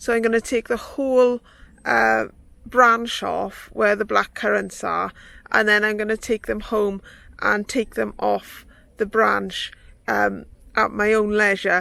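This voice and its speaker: Fairly slow female speech in a Welsh accent, with long, frequent pauses, in a very clean recording with a silent background. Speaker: gardening vlogger. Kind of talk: casual vlog talk to camera. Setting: outdoors. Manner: hesitant with fillers.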